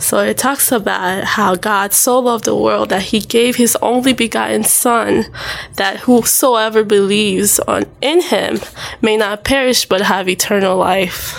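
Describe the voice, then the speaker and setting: Over noticeable background noise, a woman speaks at a fairly slow pace with very even loudness. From Haiti. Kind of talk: testimony in interview.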